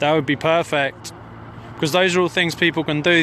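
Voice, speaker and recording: A man with a fairly high pitch speaks at a fairly quick pace, the sound dry with no echo and light background noise behind him. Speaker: citizen journalist livestreaming a protest. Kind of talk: live commentary. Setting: outdoors on a hilltop, mobile livestream. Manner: urgent, emphatic. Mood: earnest, urgent. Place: open country.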